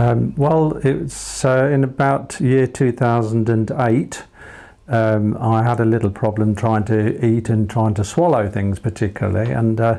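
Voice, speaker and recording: A man with a dark, mellow tone and medium pitch talks at a fairly slow pace, with ordinary pitch variation and very even loudness. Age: 70s. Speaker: cancer survivor. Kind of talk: interview. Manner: hesitant.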